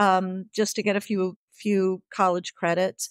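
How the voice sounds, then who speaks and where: In a dry, close sound with no echo, a woman speaks with a Midwestern American accent. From US Midwest, central Illinois. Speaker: author. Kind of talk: interview.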